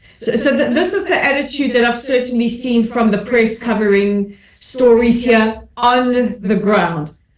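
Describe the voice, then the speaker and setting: A woman speaks in a high voice at a fairly slow pace with ordinary pitch variation. She leaves hardly any pauses. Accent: South African. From South Africa. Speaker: commentator and advocate. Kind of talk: webinar panel discussion.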